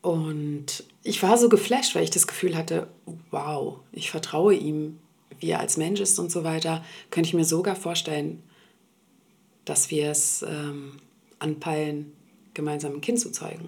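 A woman talks at a fairly slow pace in a very deep, low pitch, with ordinary pitch variation. Long, frequent pauses break up her speech. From Berlin, Germany (Swedish-born). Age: 40s. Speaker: interview guest sharing her dating story. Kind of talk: personal interview conversation. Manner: hesitant, many fillers.

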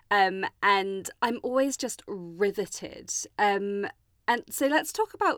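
In a very clean recording with a silent background, a woman of medium pitch uses an ordinary speaking voice with ordinary pitch variation. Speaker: podcast host. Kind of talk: interview chat.

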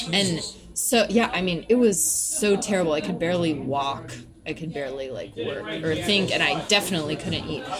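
A woman with an American accent talks at a moderate pace with a fairly low pitch and lively intonation. Crowd noise fills the background, and the room echo is audible. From US South, Nashville, Tennessee. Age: 30s. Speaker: poet. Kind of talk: casual chat.

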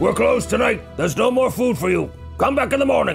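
Over clear music in the background, a man uses a guttural, put-on character voice at a very fast pace. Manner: gruff, dismissive.

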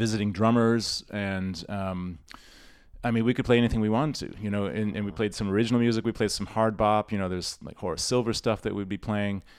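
A man speaks very fast with an American accent at a fairly low pitch. His intonation stays fairly even, and the recording is very clean with a silent background. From US Northeast, Rochester, New York. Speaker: musician and teacher. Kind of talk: casual interview.

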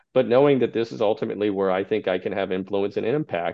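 Fairly quick and fairly low in pitch, a man talks with an American accent and ordinary pitch variation. He has a plain, everyday voice. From Texas. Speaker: state high school athletics association director. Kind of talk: interview.

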